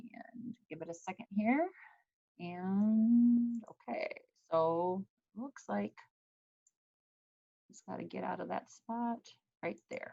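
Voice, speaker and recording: A woman at a very slow pace, very wide pitch swings, long and frequent pauses. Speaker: school principal. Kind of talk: video call welcome meeting. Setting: video call.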